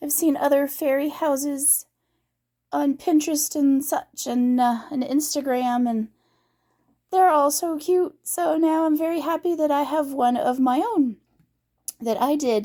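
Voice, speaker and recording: Squeaky-voiced, a woman talks at a fairly slow pace with ordinary pitch variation. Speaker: craft vlogger. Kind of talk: casual vlog update. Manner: hesitant, many fillers.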